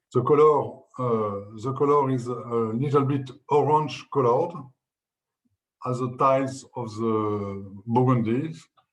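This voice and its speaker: Speaking with a French accent, a man keeps a fairly slow pace at medium pitch. His pitch varies in an ordinary way, and the room echo is audible. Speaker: winemaker. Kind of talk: interview. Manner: halting.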